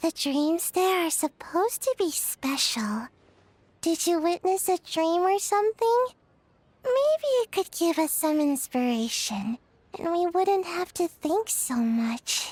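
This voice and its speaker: A squeaky put-on character voice at an extremely high pitch moves along at a fairly slow pace. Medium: video game.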